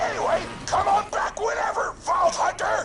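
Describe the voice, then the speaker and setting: Someone uses a put-on character voice at a moderate pace over loud background noise. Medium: machinima. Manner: sarcastic, shouting.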